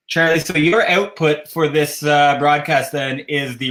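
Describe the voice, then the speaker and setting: A man speaks in a Canadian accent at a fairly slow pace. His voice is fairly high in pitch. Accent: Canadian, says 'a boot'. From Canada, Ottawa. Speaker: cross-stitch designer and show host. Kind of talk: casual livestream chat.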